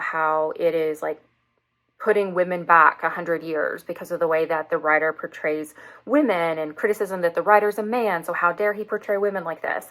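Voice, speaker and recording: A woman with a Southern US accent talks at a fairly quick pace in a fairly low, bright, sharp voice. The recording is very clean, with a silent background. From US South. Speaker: book reviewer and English teacher. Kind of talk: casual book review vlog.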